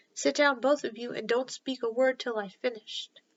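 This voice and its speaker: A woman puts on a character voice with a high pitch. She delivers it at a moderate pace. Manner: sorrowful, commanding.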